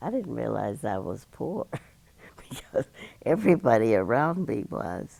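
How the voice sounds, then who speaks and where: Vocal fry runs through a man's speech, delivered at a fairly slow pace. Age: 90s. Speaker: oral history interviewee. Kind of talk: oral history interview.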